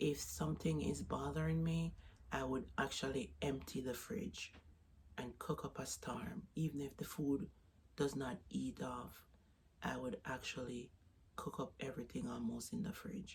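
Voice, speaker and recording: A woman with a Jamaican accent talks at a fairly slow pace. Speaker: vlogger. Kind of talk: casual vlog talk. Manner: halting.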